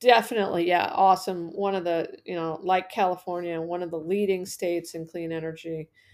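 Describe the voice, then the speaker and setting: A woman's fairly low, normal speaking voice with an American accent, fairly even intonation, big swings in loudness and hardly any pauses. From northern Arizona, US. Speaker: energy policy academic and former state regulator. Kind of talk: interview.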